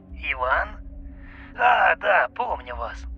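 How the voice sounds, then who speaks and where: Against clear background music, a man does a croaky, put-on character voice. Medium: read story. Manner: polite, homely.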